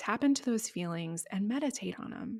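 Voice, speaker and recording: A woman speaks with lively intonation on a very clean recording with a silent background. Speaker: podcast host and business coach. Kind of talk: solo podcast tutorial. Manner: fast; casual, many fillers.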